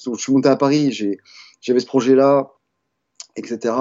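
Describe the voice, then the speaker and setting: A man is speaking. His pace is moderate. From France. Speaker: graffiti artist. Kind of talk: interview. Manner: halting, many hesitations and repetitions.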